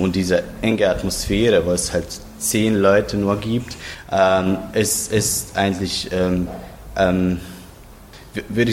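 Through noticeable background noise, a man speaks at a fairly slow pace in a very deep, low voice with monotone, flat intonation. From Croatia, Zagreb. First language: Croatian (speaking German). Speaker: literary translator. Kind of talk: interview. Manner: halting.

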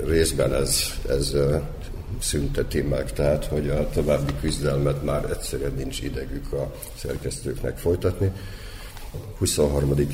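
Amid noticeable background noise and audible room echo, a man talks at a fairly slow pace with long, frequent pauses. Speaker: literary magazine editor. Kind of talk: radio panel discussion.

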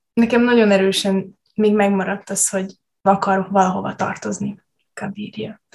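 Medium in pitch and somewhat breathy, a woman's voice comes at a moderate pace. Her intonation is monotone and flat. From Subotica, Vojvodina, Serbia. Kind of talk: casual chat.

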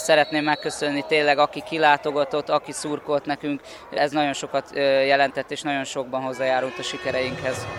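Against noticeable background noise, a man talks at a fairly quick pace in a fairly high, monotone, flat voice. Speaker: wrestling coach. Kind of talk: radio interview.

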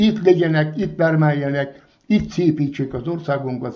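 A man's somewhat breathy, fairly high voice with lively intonation at a fairly slow pace, with audible room echo. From Vojvodina, Serbia (Kishegyes). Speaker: retired former guest worker. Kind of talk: interview.

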